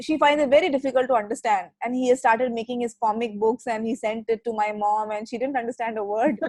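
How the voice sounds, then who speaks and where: Speaking very fast with hardly any pauses, a woman with an Indian accent uses a fairly high pitch and fairly even intonation. The sound is dry and close with no echo. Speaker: digital marketing executive. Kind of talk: casual chat.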